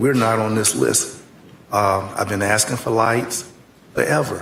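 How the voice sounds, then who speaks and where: Audible room echo surrounds a man's voice. He speaks at a fairly low pitch and a fairly slow pace. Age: 70s. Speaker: county commissioner. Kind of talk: public meeting debate.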